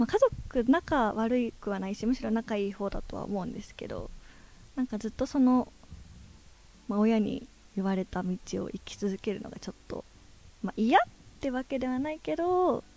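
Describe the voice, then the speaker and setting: A woman's fairly high voice with a dark, mellow tone, lively intonation, big swings in loudness, a moderate pace and long, frequent pauses. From Japan, Ishikawa (Hokuriku). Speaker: adult video actress. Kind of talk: interview.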